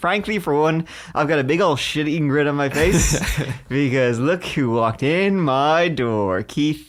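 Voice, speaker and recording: A man's unremarkable speaking voice, fairly high-pitched, with lively intonation, very even loudness and a fairly slow pace. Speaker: podcast host. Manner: playful, teasing.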